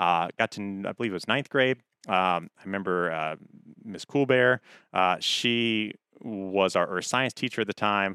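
In an ordinary speaking voice, a man with an American accent talks at a moderate pace and fairly low pitch with ordinary pitch variation. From Hampton, Virginia. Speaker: TV meteorologist. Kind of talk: casual interview.

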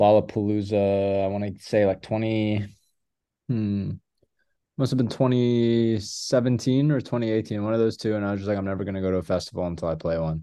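A man's fairly low, dark, mellow voice at a fairly quick pace with ordinary pitch variation. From Louisville, Kentucky. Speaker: musician and producer. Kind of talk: casual chat.

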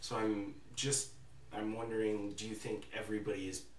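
A man's fairly low voice, with noticeable background noise and audible room echo. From Alberta, Canada (Calgary). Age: 20s. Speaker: student podcast host. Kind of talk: casual chat. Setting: in-person studio room with remote co-host on video call.

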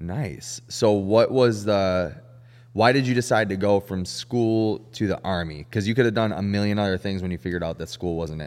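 Over a silent background in a very clean recording, a man with a plain, everyday voice speaks at a fairly low pitch and a moderate pace, with ordinary pitch variation. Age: 30s. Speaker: podcast host. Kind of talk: casual chat.

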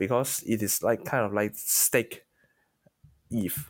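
A man of medium pitch speaks at a fairly slow pace. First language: not English. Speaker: crypto analyst and podcast guest. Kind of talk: casual interview chat. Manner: halting, with many fillers.

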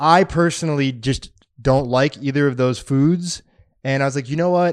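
A man speaks in a plain, everyday voice at a moderate pace. His pitch sits in the middle range with ordinary variation. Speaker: podcast co-host. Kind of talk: casual chat.

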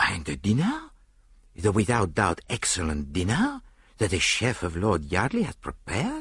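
Slow-ish and low-pitched, a man does a put-on character voice with a fairly bright tone, a husky, rough edge and very wide pitch swings.

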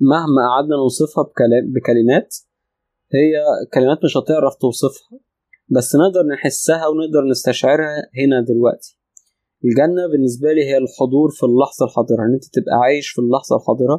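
A calm, dark, mellow tone at a moderate pace, with fairly even intonation, very even loudness and a dry, close sound with no echo. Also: man, fairly high pitch for a man. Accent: Egyptian. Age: 30s. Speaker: spiritual teacher. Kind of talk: interview. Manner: pauses often.

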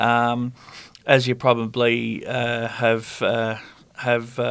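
A man with an Australian accent, monotone and flat in intonation. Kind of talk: casual interview chat.

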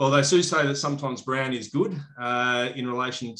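Here a man speaks in an Australian accent. His pitch is medium. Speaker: podcast host, turf company manager. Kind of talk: casual interview.

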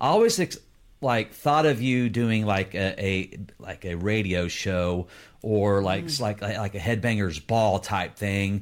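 A normal speaking voice, fairly slow, its pitch varying in an ordinary way. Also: man, fairly low pitch for a man. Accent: American. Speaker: podcast co-host. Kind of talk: casual live interview. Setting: video call, live stream.

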